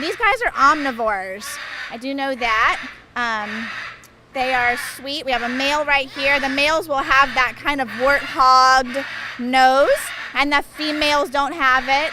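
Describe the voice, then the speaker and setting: A woman speaks in a raised, projected voice at a high pitch, with noticeable background noise behind her. Her pace is fairly slow, with long, frequent pauses. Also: ordinary pitch variation. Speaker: big cat sanctuary staff, family member of owners. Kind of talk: casual interview on a tour.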